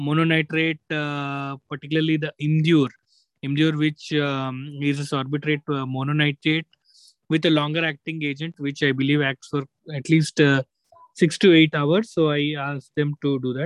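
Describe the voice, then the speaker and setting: The intonation is monotone and flat. The pace is moderate. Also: man, fairly high pitch for a man. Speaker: cardiologist co-host. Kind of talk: clinical discussion on a video call. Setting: video call.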